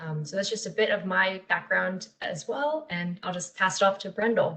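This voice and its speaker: At a moderate pace, the speaker has a plain, everyday voice. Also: woman. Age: 20s. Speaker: youth peer support specialist. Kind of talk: webinar presentation.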